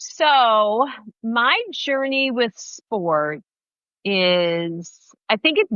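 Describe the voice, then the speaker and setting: Very wide pitch swings in a woman's fairly high voice. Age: 60s. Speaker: running coach and podcast host. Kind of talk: casual interview.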